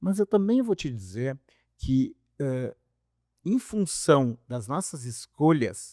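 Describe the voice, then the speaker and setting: In a very clean, dry, close recording with a silent background and no echo, a man with a fairly high pitch and a dark, mellow tone speaks very slowly, with very wide pitch swings and long, frequent pauses. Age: 60s. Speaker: doctor. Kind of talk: casual chat.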